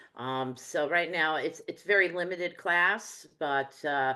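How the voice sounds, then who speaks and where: Over a quiet background, a woman with a New Jersey accent talks at a fairly slow pace in a very deep, low pitch, with a bright, sharp tone and ordinary pitch variation. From New Jersey, US. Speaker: medium and teacher. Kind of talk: interview conversation.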